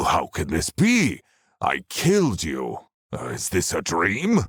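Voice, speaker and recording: A man uses a put-on character voice with a very deep, low pitch. He goes at a fairly slow pace on a very clean recording with a silent background. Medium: read story. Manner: gloating, sneering.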